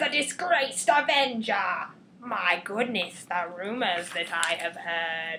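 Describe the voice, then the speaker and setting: A put-on character voice, female-sounding and medium in pitch, at a fairly slow pace with clear background noise. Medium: read story. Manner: theatrical, monologuing.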